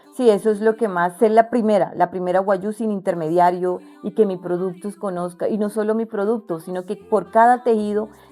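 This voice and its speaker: With music in the background, the speaker talks with hardly any pauses, in fairly even intonation, while the loudness swings widely. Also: woman, medium pitch for a woman, fairly quick pace. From La Guajira, Colombia (Wayuu community). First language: Wayuunaiki (speaking Spanish). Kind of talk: interview. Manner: halting, with false starts and fillers.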